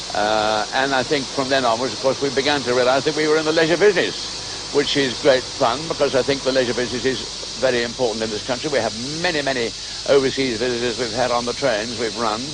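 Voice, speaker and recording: Noticeable background noise sits under a man talking very fast. His pitch is medium, with ordinary variation. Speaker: locomotive society chairman. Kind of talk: interview answer.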